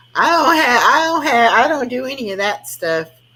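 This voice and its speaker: Over noticeable background noise, a woman talks in a high voice that swings very widely in pitch. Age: 60s. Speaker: live stream host. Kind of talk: casual chat. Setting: live stream.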